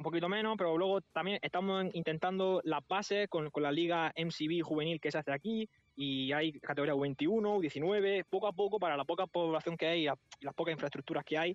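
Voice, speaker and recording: At a moderate pace, the man talks in a high voice with ordinary pitch variation. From Spain, Murcia. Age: 20s. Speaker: football coaching staff member. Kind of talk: interview.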